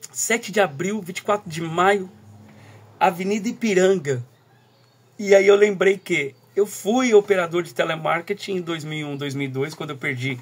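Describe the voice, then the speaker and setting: Pausing long and often, a man with a high voice talks at a moderate pace while his loudness swings a lot. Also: ordinary pitch variation. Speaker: teacher and school coordinator. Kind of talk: recorded talk. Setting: at home, early morning. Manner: soft-spoken.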